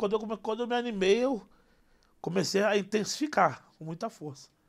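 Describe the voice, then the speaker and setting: A man talks at a fairly quick pace in a high pitch, with ordinary pitch variation and big swings in loudness. The background is quiet. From Brazil, Rio de Janeiro. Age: 20s. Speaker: comedian. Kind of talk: casual interview. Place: studio. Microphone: studio mic.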